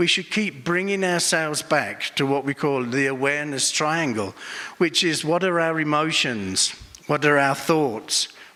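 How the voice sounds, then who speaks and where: A man with an English accent speaks at a fairly slow pace in a fairly high, bright and sharp voice, his loudness very even and his pitch variation ordinary. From England. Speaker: Buddhist monk and meditation teacher. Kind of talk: conference talk.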